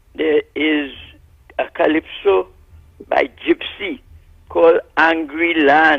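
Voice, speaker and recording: A very slow pace broken by long, frequent pauses. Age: 80s+. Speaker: caller. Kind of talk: call-in political commentary.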